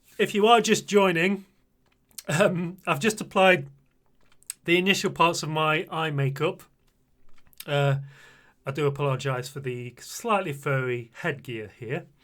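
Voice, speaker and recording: Pausing long and often, a man with a British accent speaks at a fairly high pitch with lively intonation. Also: fairly slow pace. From Britain. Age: 40s. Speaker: streamer. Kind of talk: makeup tutorial livestream. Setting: live stream. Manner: animated.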